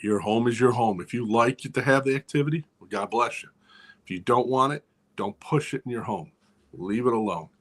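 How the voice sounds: The voice has a fairly bright tone and ordinary pitch variation. It moves at a fairly quick pace. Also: man, medium pitch for a man.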